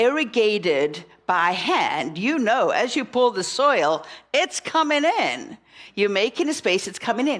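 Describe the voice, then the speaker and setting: A woman with a South African accent speaks in an animated tone at a fairly slow pace, her fairly high pitch making very wide swings. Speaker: minister. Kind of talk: sermon.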